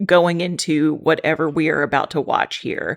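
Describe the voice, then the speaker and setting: Here a woman speaks with a Texan accent. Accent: Texan American English. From Texas. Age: 30s. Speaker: reaction video creator. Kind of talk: casual reaction commentary to camera.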